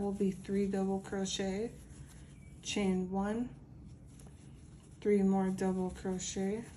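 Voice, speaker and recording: Against audible room echo, a woman with a dark, mellow tone speaks at a very slow pace in a medium pitch with monotone, flat intonation. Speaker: crochet tutorial creator. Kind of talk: tutorial. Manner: casual.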